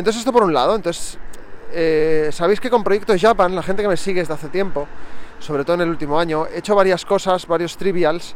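High in pitch, a man's voice comes through. Noticeable background noise is present. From Barcelona, Spain. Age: 30s. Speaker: podcaster. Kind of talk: casual monologue. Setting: walking to work.

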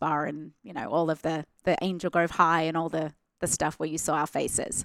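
With a non-native accent, a woman talks at a moderate pace in a fairly low pitch, recorded very cleanly against a silent background. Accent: non-rhotic foreign English. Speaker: actress. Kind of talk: casual interview. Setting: studio.

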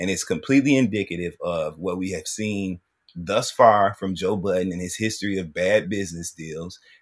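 On a very clean, silent recording, a man with a very deep, low voice speaks at a moderate pace in an animated, enthusiastic tone with ordinary pitch variation. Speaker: co-host. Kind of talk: casual banter podcast.

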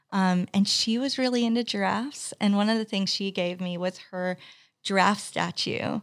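A woman's unremarkable speaking voice, medium in pitch, with fairly even intonation and a dry, close sound with no echo. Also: moderate pace. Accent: American. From US, Texas and California. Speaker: business owner, video agency founder. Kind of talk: interview, casual chat. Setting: podcast studio.

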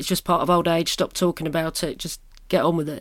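Her British accent comes through at a fairly quick pace and a fairly low pitch for a woman. The recording is very clean, with a silent background. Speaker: podcast host. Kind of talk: casual chat. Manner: animated.

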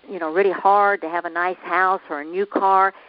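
Speaking in a Southern US accent, a woman talks at a medium pitch. Her pace is moderate. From US South. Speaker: motivational speaker. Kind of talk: interview. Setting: phone call.

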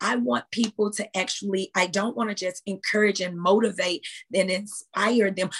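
The voice is a woman's, medium in pitch with ordinary pitch variation and somewhat breathy. She speaks at a moderate pace, with a dry, close sound and no echo. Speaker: fitness trainer; motivational speaker. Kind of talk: casual interview chat.

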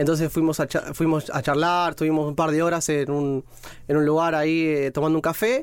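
At a fairly quick pace, a man talks in a normal speaking voice with a fairly high pitch, fairly even intonation and very even loudness. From Argentina, Mar del Plata; partly raised in Rome. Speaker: podcast guest, single man. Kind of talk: casual chat.

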